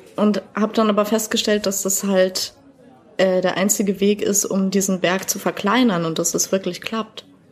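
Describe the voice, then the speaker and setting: Over noticeable background noise, a woman at medium pitch speaks at a moderate pace with a monotone, flat intonation. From Bavaria, Germany. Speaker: poetry slammer. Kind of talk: podcast interview. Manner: talkative.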